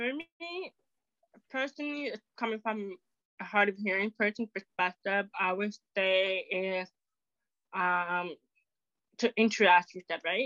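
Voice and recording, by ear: A woman's medium-pitched, fairly bright voice at a fairly slow pace, with long, frequent pauses. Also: ordinary pitch variation, dry, close sound with no echo.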